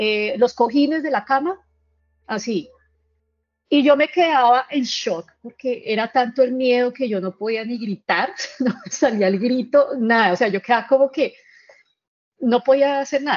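With a high pitch and ordinary pitch variation, a woman talks at a fairly slow pace, leaving long, frequent pauses. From Colombia. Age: 30s. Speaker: caller sharing paranormal experience. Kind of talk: testimony. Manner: halting.

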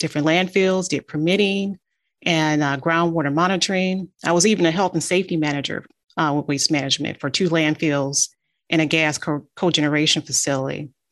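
Over a quiet background, a woman with an American accent talks fairly quickly at a very deep, low pitch, her intonation fairly even. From Detroit, Michigan. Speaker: engineering firm CEO. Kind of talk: interview.

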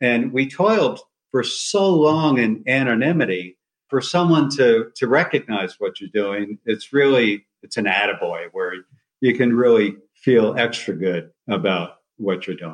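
Speaking fairly slowly with lively intonation, a man of medium pitch has a plain, everyday voice. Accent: American. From New Jersey. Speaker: retired surgeon and rescue pilot. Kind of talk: interview.

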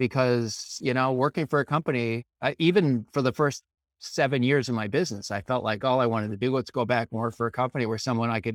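A man with an American accent and an unremarkable speaking voice talks at a fairly quick pace, medium pitch, and fairly even intonation. The recording is very clean with a silent background and a dry, close sound with no echo. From Maine, US. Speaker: data management business owner. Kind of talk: interview.

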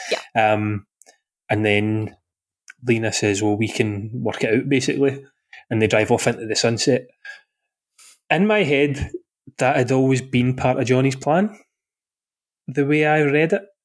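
Long, frequent pauses mark a man's speech at a moderate pace. He has a Glaswegian accent. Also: medium pitch for a man, very even loudness. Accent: Glaswegian Scottish. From Scotland, Glasgow. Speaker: podcast host. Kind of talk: casual chat.

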